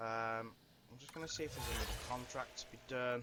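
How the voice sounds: A man speaks at a fairly quick pace in a medium-pitched voice, bright and sharp in tone, with fairly even intonation.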